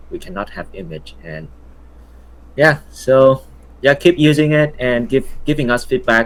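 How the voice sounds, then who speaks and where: A man speaks with a Vietnamese accent. His pace is fairly slow. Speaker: software founder. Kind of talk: casual interview.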